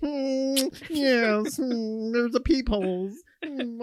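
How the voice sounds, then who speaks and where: A put-on character voice at a fairly high pitch drags along at a very slow pace. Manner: mocking, silly put-on.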